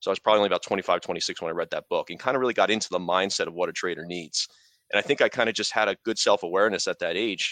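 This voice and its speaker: A man speaks very fast with an American accent. The sound is dry and close, with no echo and a quiet background. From New York. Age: 40s. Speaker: part-time stock trader and blogger. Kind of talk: casual interview.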